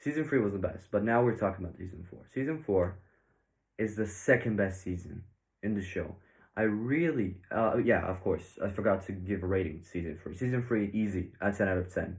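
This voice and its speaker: A man's fairly low, somewhat breathy voice at a fairly quick pace, with ordinary pitch variation and audible room echo. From Bulgaria. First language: Bulgarian. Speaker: YouTube reviewer. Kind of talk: video review commentary. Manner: casual, hesitant with fillers.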